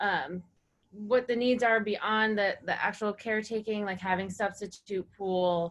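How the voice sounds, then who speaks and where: At a moderate pace and with fairly even intonation, a woman speaks in a plain, everyday voice. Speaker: cooperative developer. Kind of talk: webinar breakout summary.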